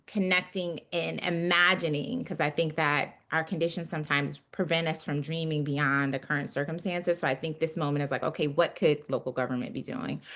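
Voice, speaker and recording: A woman's very deep, low voice with a bright, sharp tone, at a fairly quick pace with ordinary pitch variation, over a quiet background. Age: 30s. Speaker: city council member. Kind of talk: panel discussion. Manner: casual, many fillers.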